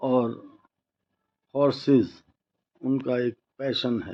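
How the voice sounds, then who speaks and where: A man's medium-pitched, unremarkable speaking voice with fairly even intonation. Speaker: news reporter. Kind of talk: news report and interview questions.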